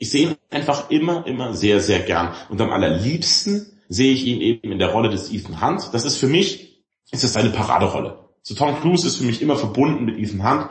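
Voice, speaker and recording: A man speaks at a fairly quick pace with hardly any pauses, his medium-pitched, somewhat breathy voice swinging very widely in pitch. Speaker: podcast co-host, film discussion. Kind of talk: casual chat.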